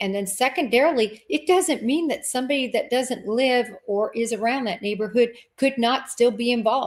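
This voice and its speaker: The speaker talks with an American accent. The pitch variation is ordinary. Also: woman. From Kansas. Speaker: former FBI agent, true crime podcast host. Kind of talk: casual interview chat.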